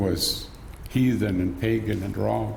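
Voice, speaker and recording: The speaker is a man. His words carry audible room echo. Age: 70s. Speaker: residential school survivor and elder. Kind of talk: testimony. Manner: halting.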